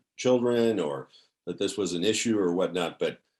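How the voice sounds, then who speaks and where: With an American accent, a man talks at a moderate pace over a quiet background. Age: 60s. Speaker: podcast host. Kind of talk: interview. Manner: halting.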